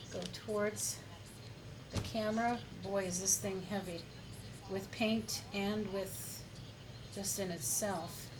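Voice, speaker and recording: Music plays behind a woman of medium pitch who speaks at a very slow pace. She takes long, frequent pauses, and the room echoes audibly. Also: ordinary pitch variation. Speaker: acrylic pour artist. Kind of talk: tutorial. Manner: quieter than usual while working.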